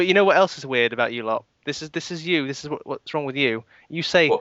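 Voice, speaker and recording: A man with a British accent, fairly high in pitch, with ordinary pitch variation, big swings in loudness, and a very fast pace. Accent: British, non-American. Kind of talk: casual, bantering.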